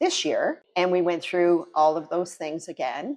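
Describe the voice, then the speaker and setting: Her voice is a woman's, set at a fairly low pitch. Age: 60s. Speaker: gym member sharing testimonial. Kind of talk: testimony.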